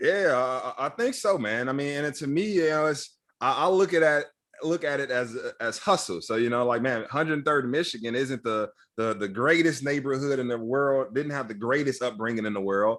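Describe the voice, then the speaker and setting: A man with an American accent speaks at a fairly quick pace, his pitch fairly high and his intonation lively. It's a plain, everyday voice, captured in a very clean recording with a silent background. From Chicago, South Side (Roseland). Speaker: tech training nonprofit CEO. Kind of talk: interview conversation. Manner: casual, repetitive filler words.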